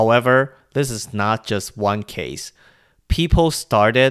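This man speaks with a Chinese accent and ordinary pitch variation. The recording is very clean, with a silent background. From Taiwan. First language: Mandarin Chinese. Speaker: podcast host. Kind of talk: casual solo news commentary.

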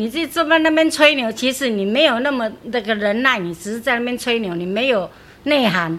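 Her pitch is high and her intonation lively. The woman speaks at a fairly quick pace. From Taipei, Taiwan. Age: 60s. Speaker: grandmother sharing proverbs. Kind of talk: casual interview chat.

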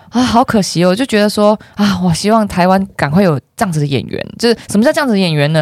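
A woman with a medium pitch speaks at a very fast pace. Her tone is animated and her intonation lively. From Malaysia. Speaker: film distribution marketer and event host. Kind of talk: casual chat. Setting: studio.

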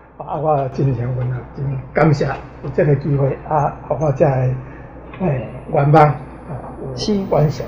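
With a Taiwanese accent, a man speaks at a very slow pace with long, frequent pauses, a fairly high pitch and fairly even intonation, amid audible room echo and noticeable background noise. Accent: Taiwanese, speaks mainly Taiwanese Hokkien. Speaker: visually impaired pianist. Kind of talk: casual interview.

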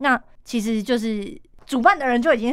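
Her pace is fairly quick. The woman's pitch variation is ordinary. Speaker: event emcee. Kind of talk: interview. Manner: lively, cheerful.

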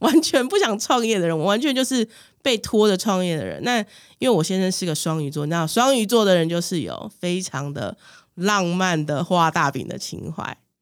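Here a woman has an unremarkable speaking voice at a medium pitch, with lively intonation. She keeps a moderate pace on a very clean recording with a silent background. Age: 40s. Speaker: business owner. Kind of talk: casual chat.

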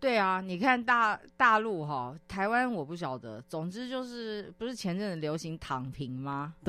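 Hardly pausing, the voice moves at a fairly slow pace on a very clean recording with a silent background. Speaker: business magazine deputy editor-in-chief. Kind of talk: casual chat. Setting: radio studio.

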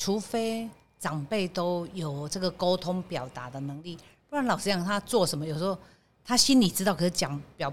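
Using a plain, everyday voice, a woman speaks at a fairly low pitch with lively intonation. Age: 60s. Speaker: bakery company general manager. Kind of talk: interview.

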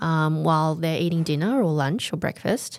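A woman talks with an Australian accent. Her pitch is fairly low and her pace moderate. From Australia, Melbourne. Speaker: English curriculum developer and teacher. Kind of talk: interview.

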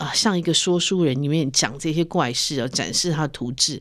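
On a very clean recording with a silent background, a woman speaks at a moderate pace in a very deep, low voice. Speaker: podcast host and magazine editor. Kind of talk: interview.

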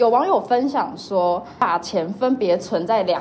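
A woman's medium-pitched voice in a Taiwanese accent, with lively intonation and noticeable background noise. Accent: Taiwanese Mandarin. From Taiwan, Kaohsiung. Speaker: podcast host, university student. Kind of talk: casual chat.

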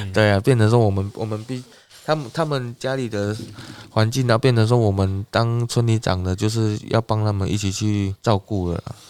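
Here is an ordinary speaking voice, delivered at a moderate pace with fairly even intonation. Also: man, fairly low pitch for a man. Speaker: village chief. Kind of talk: casual interview.

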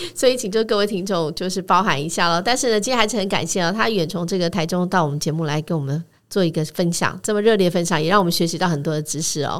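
The woman talks at a very fast pace with hardly any pauses and ordinary pitch variation. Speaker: radio host. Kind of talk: interview. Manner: halting.

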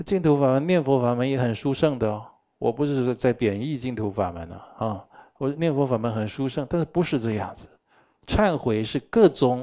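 A man speaks in a dark, mellow tone with lively intonation and big swings in loudness. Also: medium pitch for a man, moderate pace. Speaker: Buddhist teacher. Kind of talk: dharma lecture. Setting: live teaching session with in-person and online audience. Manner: animated.

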